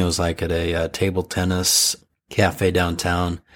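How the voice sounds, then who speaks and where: On a very clean recording with a silent background, a man with an American accent speaks at a very deep, low pitch. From US. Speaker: podcast co-host. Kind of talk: casual chat. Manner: hesitant, many filler uhs.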